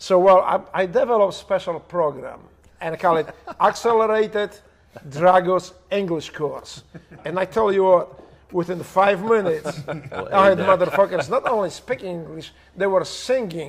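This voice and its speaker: With a Polish accent, a man talks in a high pitch with ordinary pitch variation over light background noise. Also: moderate pace. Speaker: former special operations operator. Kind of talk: heavily profane, casual storytelling. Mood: humorous, animated. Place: home room.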